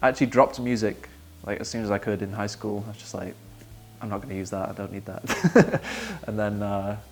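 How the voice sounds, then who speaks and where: Over background music, a man with a Manchester accent speaks at a fairly low pitch with fairly even intonation. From Manchester, England. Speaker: worship songwriter. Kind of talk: interview.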